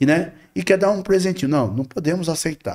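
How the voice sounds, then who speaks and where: A man talks at a fairly high pitch. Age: 60s. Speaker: spiritist medium and volunteer. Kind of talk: podcast interview.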